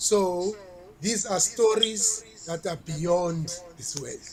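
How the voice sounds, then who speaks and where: Over noticeable background noise, a man speaks with a South African accent in a high pitch with ordinary pitch variation. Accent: South African (Xhosa) English. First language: Xhosa. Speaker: reggae artist. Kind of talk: interview.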